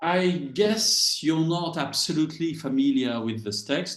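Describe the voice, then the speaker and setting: In a French accent, a man talks at a fairly slow pace with very wide pitch swings. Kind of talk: lecture. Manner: halting, with fillers.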